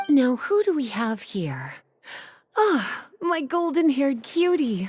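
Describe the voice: A woman's put-on character voice, high-pitched with big pitch swings, a slightly mellow tone and a slow pace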